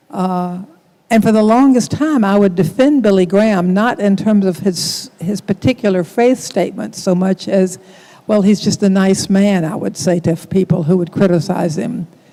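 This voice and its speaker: A woman with an American accent speaks at a moderate pace and a medium pitch, with noticeable background noise. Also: ordinary pitch variation. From US South. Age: 70s. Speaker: author and theologian. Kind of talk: panel discussion.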